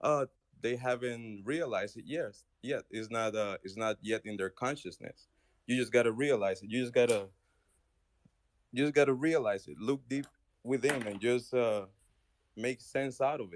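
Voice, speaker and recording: In a non-native accent, a man speaks at a moderate pace and medium pitch with ordinary pitch variation, long, frequent pauses, and big swings in loudness, in a dry, close sound with no echo. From outside the US. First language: not English. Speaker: caller in an online audio room. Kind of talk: heated debate. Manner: halting.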